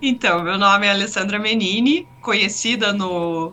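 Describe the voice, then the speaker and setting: Noticeable background noise sits under speech that moves at a moderate pace with fairly even intonation. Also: woman. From Curitiba, southern Brazil. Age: 30s. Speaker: sim racing driver. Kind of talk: interview.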